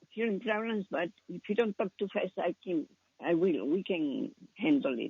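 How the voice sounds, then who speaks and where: A woman with a non-native accent, medium in pitch, at a moderate pace with lively intonation. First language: not English. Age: 80s+. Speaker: caller. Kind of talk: phone call to radio show. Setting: phone call. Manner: halting.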